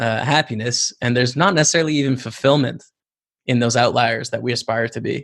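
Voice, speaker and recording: A man's normal speaking voice at a fairly quick pace, with medium pitch. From Canada, Lethbridge, Alberta. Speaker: poker pro and streamer. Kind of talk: interview conversation.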